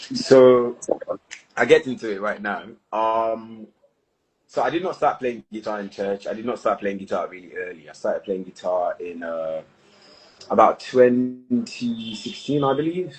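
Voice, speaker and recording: A man with a British accent uses lively intonation and big swings in loudness. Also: medium pitch for a man, moderate pace. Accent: posh British-sounding English from school. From Nigeria, Lagos. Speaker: singer-songwriter. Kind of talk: casual interview chat. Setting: live stream.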